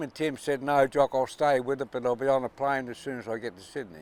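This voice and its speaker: The recording of a man with an Australian accent sounds dry and close, with no echo. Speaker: yacht owner and sailor. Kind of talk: interview answer, storytelling. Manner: passionate.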